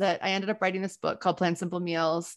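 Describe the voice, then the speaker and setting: A plain, everyday voice: a woman with an American accent, medium in pitch, at a fairly quick pace over a quiet background. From US South, New Orleans. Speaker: entrepreneur and planning coach. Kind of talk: casual interview chat.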